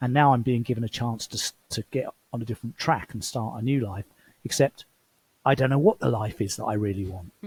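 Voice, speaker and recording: Somewhat breathy and medium in pitch, a man talks at a fairly quick pace with ordinary pitch variation. The sound is dry and close with no echo. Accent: English. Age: 60s. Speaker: former CEO turned traveler. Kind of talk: interview conversation.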